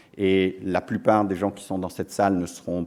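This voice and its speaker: In an English accent, a dark, mellow tone moves along at a moderate pace. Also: man. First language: English (speaking French). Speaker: business school dean and professor. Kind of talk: ceremony speech. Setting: lecture hall with audience. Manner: hesitant, many fillers.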